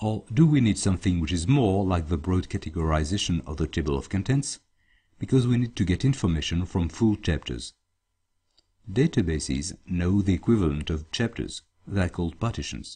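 Against a quiet background, a man with a very deep, low, dark and mellow voice speaks fairly quickly in a French accent, somewhat breathy and with lively intonation. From France. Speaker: database consultant. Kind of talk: tutorial.

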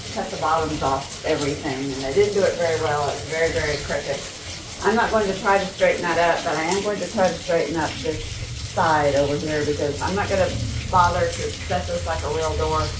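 Speech moves at a fairly quick pace. Noticeable background noise is present. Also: woman. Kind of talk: casual vlog chat. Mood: frustrated but practical. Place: home room. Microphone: camera far.

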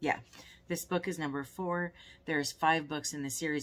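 Speaking at a fairly quick pace, a woman has an unremarkable speaking voice with a fairly low pitch. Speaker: book vlogger. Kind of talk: casual vlog chat. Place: home room. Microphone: phone near.

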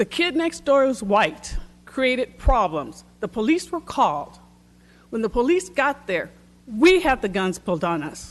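In an American accent, a woman with fairly high pitch and vocal fry talks at a fairly slow pace with very wide pitch swings. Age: 60s. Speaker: public commenter at city council. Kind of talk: public comment speech.

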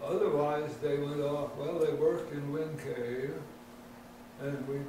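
The speech moves at a fairly slow pace, with noticeable background noise and audible room echo. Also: man. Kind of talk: interview answer. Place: office.

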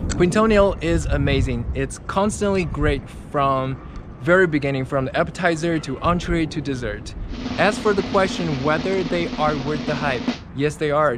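Loud background noise surrounds a dry, echo-free voice moving at a moderate pace. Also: man. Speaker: travel vlogger. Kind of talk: casual vlog chat. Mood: enthusiastic, positive verdict. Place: street. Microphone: phone near.

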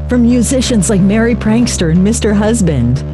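A woman's speech is accompanied by clear background music. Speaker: radio host. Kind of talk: radio promo read. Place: studio. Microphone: studio mic.

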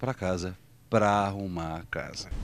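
The recording is dry, with no echo. A man speaks at a moderate pace. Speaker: stage actor promoting his play. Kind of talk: promotional interview to camera. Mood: warm, enthusiastic. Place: stage. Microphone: handheld.

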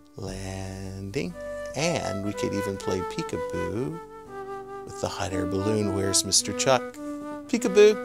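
Over loud background music, a man speaks at a fairly slow pace, leaving long, frequent pauses. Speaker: children's show host. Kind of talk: children's craft tutorial. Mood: cheerful, gentle, animated. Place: studio. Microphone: lapel.

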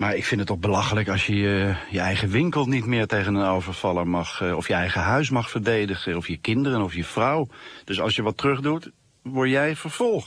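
An unremarkable speaking voice from a man, fairly low in pitch, with lively intonation at a fairly quick pace, dry with no echo against a quiet background. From Netherlands, The Hague; Netherlands. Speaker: comic artist. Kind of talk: radio interview.

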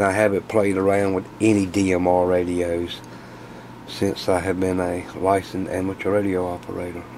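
A man talks at a moderate pace in a very deep, low voice. His intonation is monotone and flat, with noticeable background noise behind him. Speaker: radio hobbyist video host. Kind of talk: casual tutorial, tear down demonstration. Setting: workshop, shop. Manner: casual, chatty, filler words.

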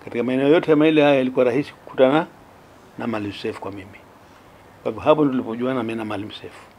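Light background noise sits behind a man speaking at a very fast pace. His loudness swings a lot while his pitch varies in an ordinary way. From Zanzibar, northern Unguja. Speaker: retired police officer and politician; politician. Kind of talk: interview testimony. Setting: at his home. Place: home room.

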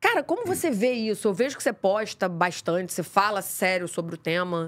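This woman has a medium-pitched voice and lively intonation. She speaks at a moderate pace. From Rio de Janeiro, Praça Seca; Rio de Janeiro. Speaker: podcast host. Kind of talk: casual interview. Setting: studio. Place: studio. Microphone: studio mic.

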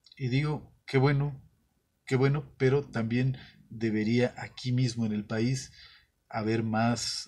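Against a quiet background, the somewhat breathy voice moves at a very slow pace with monotone, flat intonation. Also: man. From Mexico. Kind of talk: monologue. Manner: halting, with filler sounds. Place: studio.

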